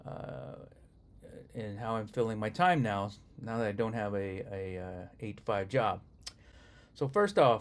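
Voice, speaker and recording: Lively intonation marks this man's fairly low voice. He talks at a fairly slow pace with long, frequent pauses. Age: 60s. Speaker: retired software manager, vlogger. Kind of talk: casual vlog monologue. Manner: halting, many fillers.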